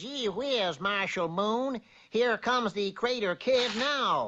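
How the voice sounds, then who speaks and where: A woman's cartoonish character voice at a fairly slow pace. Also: fairly high pitch for a woman. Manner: mild, courteous.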